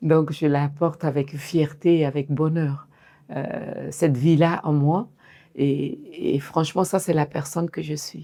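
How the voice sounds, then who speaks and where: A woman talks at a very slow pace, her intonation fairly even. Her tone is dark and mellow, with a very deep, low pitch. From Mali. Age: 60s. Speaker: fashion designer and entrepreneur. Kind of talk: interview testimony.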